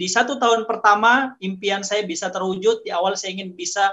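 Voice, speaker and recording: This man has a high pitch and ordinary pitch variation. He talks at a fairly quick pace. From Indonesia, Gorontalo. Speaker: network marketing distributor. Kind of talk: business testimony. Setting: at home, online livestream.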